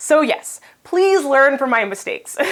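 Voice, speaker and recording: A loud, animated woman at a high pitch and moderate pace, with very wide pitch swings. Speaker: financial blogger, vlogger. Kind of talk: casual vlog review.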